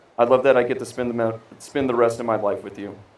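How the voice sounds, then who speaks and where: With audible echo from the room, a man talks in a monotone, flat intonation. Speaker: groom. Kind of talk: wedding vows.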